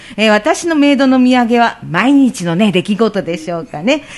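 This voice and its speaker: With noticeable background noise behind her, a woman speaks at a fairly high pitch. Her pace is fairly slow and her intonation lively. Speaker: radio host. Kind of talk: casual interview. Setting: radio studio.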